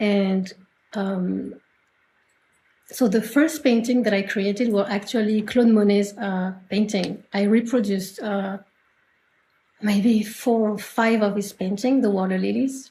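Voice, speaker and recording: A woman's somewhat breathy, dark, mellow voice in a French accent, with fairly even intonation, a fairly slow pace and long, frequent pauses. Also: medium pitch for a woman. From France, Normandy. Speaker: artist. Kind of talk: interview. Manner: halting.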